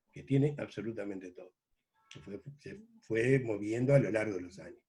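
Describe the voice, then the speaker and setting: A man speaks with lively intonation and a dark, mellow tone. His voice is somewhat breathy. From Uruguay, Rocha department (La Paloma). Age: 70s. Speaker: journalist. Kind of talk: interview. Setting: video call.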